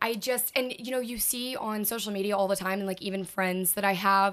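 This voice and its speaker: A woman with an American accent speaks in an unremarkable speaking voice at a medium pitch, fairly quick pace and fairly even intonation. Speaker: college student. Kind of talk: casual chat.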